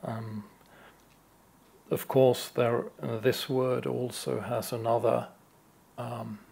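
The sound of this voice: A man at a medium pitch with a slightly mellow tone and vocal fry, a slow pace, little pitch movement and long, frequent pauses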